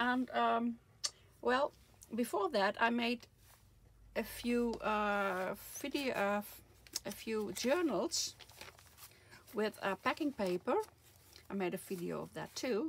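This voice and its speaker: Over light background noise, a woman speaks very slowly, with long, frequent pauses. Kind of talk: casual vlog chat. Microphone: phone near.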